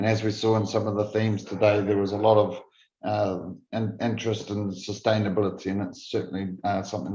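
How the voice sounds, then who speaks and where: A man with a New Zealand accent, fairly low-pitched and dark and mellow in tone, monotone and flat, at a very fast pace over a quiet background. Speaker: food safety executive. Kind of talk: conference presentation. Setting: virtual conference. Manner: halting with repeated false starts.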